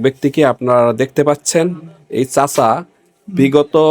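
A man with an ordinary speaking voice and a fairly high pitch talks in fairly even intonation, the sound dry and close with no echo. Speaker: local video reporter. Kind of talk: field report with interviews.

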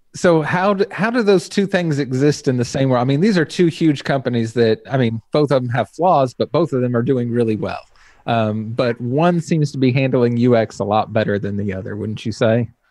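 A normal speaking voice from a man with an American accent comes through a dry sound with no echo, at a moderate pace with lively intonation and hardly any pauses. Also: medium pitch for a man, quiet background. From Texas. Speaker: web design podcast host. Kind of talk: casual interview. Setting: video call. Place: home room. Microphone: studio mic.

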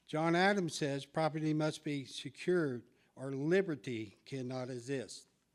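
At a fairly slow pace, a man talks in a plain, everyday voice, fairly high in pitch with ordinary pitch variation. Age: 60s. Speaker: public commenter at school board meeting. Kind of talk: public comment speech.

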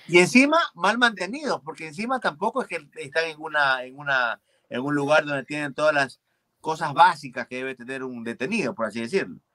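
Against a quiet background, a man with a fairly high pitch talks at a moderate pace in a bright, sharp tone, his intonation lively and his loudness swinging widely. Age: 40s. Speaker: comedian and show host; comedian, show host. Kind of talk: casual chat. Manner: animated. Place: studio.

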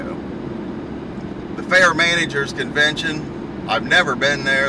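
A man speaks at a very slow pace with loud background noise. The sound is dry, with no echo. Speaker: farmer vlogger. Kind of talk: casual vlog chat. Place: car. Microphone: camera far.

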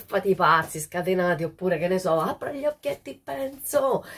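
Her tone animated and her pitch swinging very widely, a woman talks at a fairly slow pace. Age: 60s. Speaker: social media host. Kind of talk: casual monologue to viewers. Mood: nostalgic, cheerful. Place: home room. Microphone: phone near.

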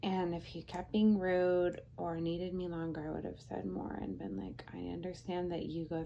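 Light background noise behind a woman's voice. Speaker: vlogger. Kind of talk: casual vlog chat. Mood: relaxed retelling of stressful event. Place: home room.

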